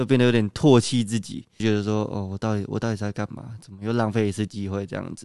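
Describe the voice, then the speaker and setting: Over a quiet background in a dry, close sound with no echo, a man speaks at a very fast pace in a fairly low, dark, mellow voice with fairly even intonation. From Taiwan, Kaohsiung. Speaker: badminton athlete, university student. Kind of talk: interview.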